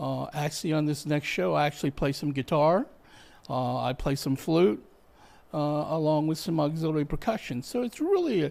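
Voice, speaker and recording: A man speaks in a plain, everyday voice, fairly high in pitch with ordinary variation. His pace is fairly quick, and the recording is very clean with a silent background. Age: 60s. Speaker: musician. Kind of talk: casual interview chat.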